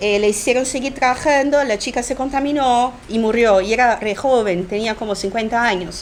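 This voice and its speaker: A woman with a Brazilian accent talks at a moderate pace and fairly high pitch, with ordinary pitch variation, hardly any pauses and noticeable background noise. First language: Portuguese (speaking Spanish). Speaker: political activist and book editor. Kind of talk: talk interview. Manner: halting, many fillers.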